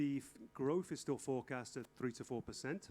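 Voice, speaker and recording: Speaking with an English accent, a man with a fairly high voice keeps a moderate pace. His intonation is fairly even. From England. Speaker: fashion industry consultant, lecturer. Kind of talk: lecture with consecutive interpretation. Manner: halting.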